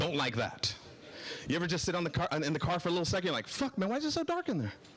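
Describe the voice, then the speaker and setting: A man talks at a very fast pace in a high pitch, with very wide pitch swings and an animated tone. His loudness stays very even, and background noise is noticeable. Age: 40s. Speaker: stand-up comedian. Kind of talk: stand-up. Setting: stage with audience.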